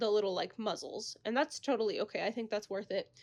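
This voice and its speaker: Recorded very cleanly against a silent background, a woman talks at a fairly high pitch with ordinary pitch variation. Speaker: crochet small business owner. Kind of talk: casual craft vlog. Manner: fast.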